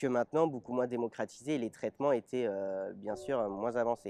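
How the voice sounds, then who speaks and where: The voice has a dark, mellow tone. Its sound is dry and close, with no echo. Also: man. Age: 20s. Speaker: interviewee, double lung transplant patient with cystic fibrosis. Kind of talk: personal testimony interview. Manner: hesitant, frequent filler 'euh'.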